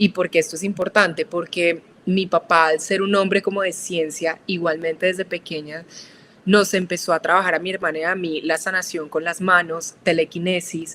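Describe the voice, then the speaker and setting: The delivery is flat and monotone, at a middling speed. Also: woman, fairly low pitch for a woman. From Colombia, Manizales. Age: 30s. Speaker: architect and spiritual guide. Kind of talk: podcast interview.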